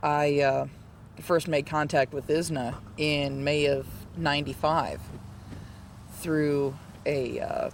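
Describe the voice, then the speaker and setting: Against noticeable background noise, a man speaks at a fairly high pitch and a very slow pace. His intonation is monotone and flat, with long, frequent pauses. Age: 30s. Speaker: intersex retreat participant. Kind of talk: testimony. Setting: retreat meeting.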